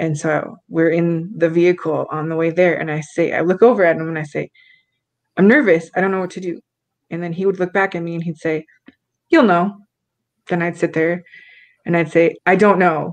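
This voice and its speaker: Against a quiet background, a woman with a fairly low pitch talks at a fairly quick pace with fairly even intonation and long, frequent pauses. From US Midwest. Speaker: talk show guest. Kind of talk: casual chat. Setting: video call. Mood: reflective, warm. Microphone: video call.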